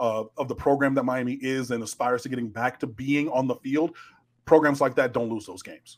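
A man with an American accent talks at a fairly quick pace in a normal speaking voice, his medium pitch held to fairly even intonation while his loudness swings widely. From Detroit, Michigan. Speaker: sports journalist. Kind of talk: roundtable discussion.

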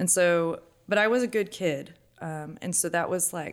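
The recording is very clean with a silent background. A woman at fairly low pitch uses ordinary pitch variation in a plain, everyday voice. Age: 20s. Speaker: stay-at-home mother and church volunteer. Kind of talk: casual interview testimony.

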